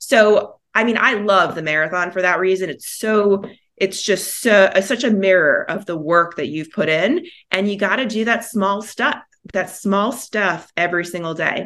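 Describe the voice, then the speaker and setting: The speaker is a woman with a medium pitch. She talks at a moderate pace with ordinary pitch variation. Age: 40s. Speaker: marathon runner and PR professional. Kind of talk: interview. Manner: hesitant fillers.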